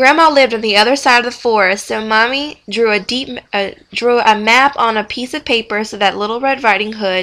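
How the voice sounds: A natural reading voice, pitch moving in an ordinary range of variation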